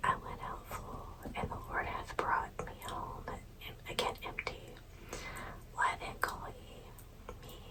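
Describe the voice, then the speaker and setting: Calm, very slow whispering over noticeable background noise. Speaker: ASMR creator. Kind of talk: scripture reading. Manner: whispered, soft; slow, calm.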